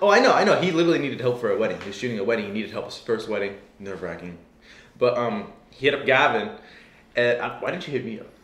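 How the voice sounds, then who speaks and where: Talking at a very fast pace, a man at medium pitch makes very wide pitch swings and big swings in loudness. Audible room echo and noticeable background noise come through too. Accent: American. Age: young. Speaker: filmmaker. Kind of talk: casual chat. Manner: animated.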